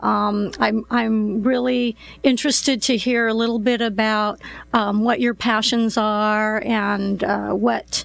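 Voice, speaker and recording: A very slow pace with very even loudness and fairly even intonation. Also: woman, fairly high pitch for a woman. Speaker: real estate podcast host. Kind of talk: interview.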